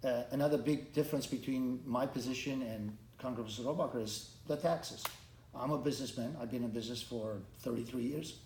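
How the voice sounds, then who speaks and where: A man with a Romanian accent speaks at medium pitch and a fairly quick pace. Noticeable background noise and audible room echo fill the recording. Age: 50s. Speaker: congressional candidate. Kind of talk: interview. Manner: halting, with repetitions and restarts.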